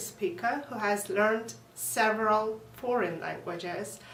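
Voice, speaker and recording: A woman's fairly high voice in a Russian accent, fairly slow, with audible room echo and noticeable background noise. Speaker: language teacher. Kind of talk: lesson. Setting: at home.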